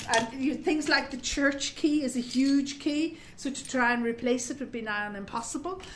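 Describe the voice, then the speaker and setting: Speaking with an Irish accent at a moderate pace with hardly any pauses, a woman has a high pitch and ordinary pitch variation, with noticeable background noise. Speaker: parish volunteer. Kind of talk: interview.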